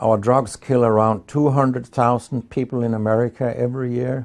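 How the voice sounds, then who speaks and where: In a Danish accent, a man talks at a fairly slow pace and a medium pitch. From Denmark. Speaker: medical research professor. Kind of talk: interview.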